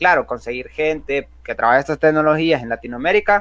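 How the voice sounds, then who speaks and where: Speaking with a Honduran accent, a man uses a fairly high pitch and ordinary pitch variation. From Honduras. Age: 20s. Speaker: software developer and youtuber. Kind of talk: tutorial. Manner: casual, with filler words.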